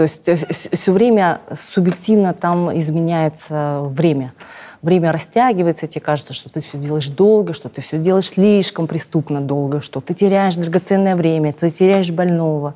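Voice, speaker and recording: A woman with a fairly low pitch and a dark, mellow tone speaks at a moderate pace. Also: ordinary pitch variation. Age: 40s. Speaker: cosmetologist and blogger; blogger. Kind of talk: interview. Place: studio. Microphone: lapel.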